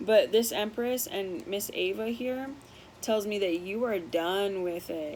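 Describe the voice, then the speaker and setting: Fairly slow speech from a woman, her pitch varying in an ordinary way. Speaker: tarot card reader. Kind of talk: tarot reading to viewers. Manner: casual, warm, direct address.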